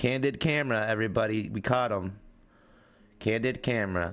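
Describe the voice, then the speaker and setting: Speaking fairly quickly with a Pennsylvania accent, a man keeps a fairly low pitch and ordinary pitch variation. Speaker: livestreamer. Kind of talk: casual live stream chat. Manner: animated.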